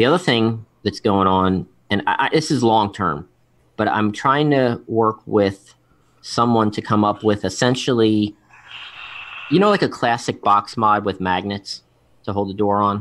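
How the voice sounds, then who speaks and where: A man with an American accent speaks at a fairly slow pace in a fairly low pitch, with ordinary pitch variation, on a very clean recording with a silent background. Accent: Philadelphia accent, noticeable to others. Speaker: vape show host and guest. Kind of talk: casual chat. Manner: halting, many fillers and restarts.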